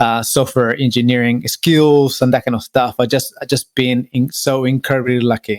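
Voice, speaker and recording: A man with an Argentine accent speaks at a moderate pace and medium pitch, with fairly even intonation and hardly any pauses. The sound is dry and close, with no echo. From Argentina. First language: Spanish. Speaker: business owner. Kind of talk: podcast interview. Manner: hesitant, many fillers.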